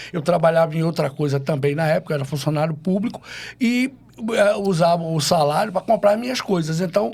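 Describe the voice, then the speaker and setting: A man with a high-pitched voice talks at a fairly quick pace. His pitch rises and falls in an ordinary way. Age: 60s. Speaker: DJ. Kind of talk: casual chat.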